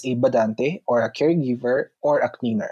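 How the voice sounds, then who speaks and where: A man speaks with a Filipino accent in a dark, mellow tone. The sound is dry and close with no echo. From Philippines. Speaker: OFW in Italy. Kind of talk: casual interview.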